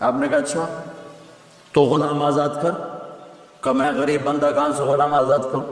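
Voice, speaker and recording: A man speaks in a passionate tone. There is noticeable background noise behind him. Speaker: Islamic preacher giving a sermon. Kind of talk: Islamic sermon (bayan) to an audience. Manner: passionate, emphatic, storytelling.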